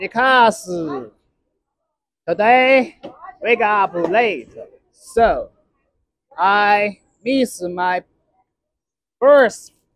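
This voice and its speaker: A high-pitched man with a Chinese accent, very slow and with long, frequent pauses, ordinary in pitch variation. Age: 30s. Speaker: vlogger. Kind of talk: casual vlog. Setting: outdoors and in a restaurant. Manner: halting.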